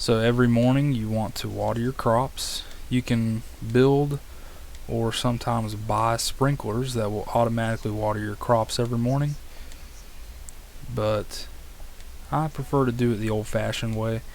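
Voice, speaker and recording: Speaking at a moderate pace, a man with an American accent leaves long, frequent pauses. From US South, West Virginia. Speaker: video game streamer. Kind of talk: gameplay tutorial live stream. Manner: casual, with frequent filler words.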